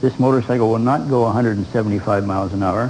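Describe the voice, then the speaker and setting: Over noticeable background noise, a man speaks very fast in a fairly low, monotone, flat voice. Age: 70s. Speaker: motorcycle enthusiast. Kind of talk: TV interview.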